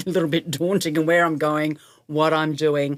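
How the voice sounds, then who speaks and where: In an Australian accent, a woman talks at a moderate pace and a fairly low pitch on a very clean recording with a silent background. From Australia, Melbourne. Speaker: guest on a women's midlife podcast. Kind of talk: interview conversation.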